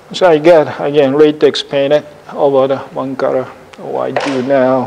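A man's fairly high voice at a fairly slow pace, with fairly even intonation and noticeable background noise. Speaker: ceramic artist demonstrating glazes. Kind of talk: demonstration talk. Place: classroom. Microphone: lapel.

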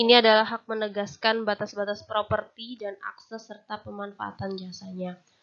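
Her medium-pitched voice stays monotone and flat, with hardly any pauses but big swings in loudness as this woman talks. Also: moderate pace. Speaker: university lecturer. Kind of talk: lecture. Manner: formal.

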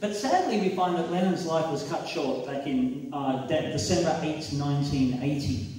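A man talks with ordinary pitch variation amid strong room echo. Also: fairly slow pace. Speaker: preacher. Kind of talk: sermon. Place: hall.

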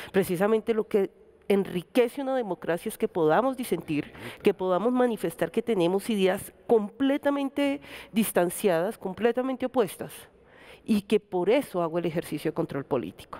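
A woman with a dark, mellow tone talks at a moderate pace using lively intonation. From Colombia. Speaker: electoral observation organization director; guest. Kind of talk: televised panel discussion. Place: studio. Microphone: headset.

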